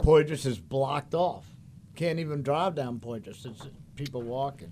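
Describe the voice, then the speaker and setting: At a moderate pace, a man with a New Orleans accent speaks in a dark, mellow tone. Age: old. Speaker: chef. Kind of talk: casual chat.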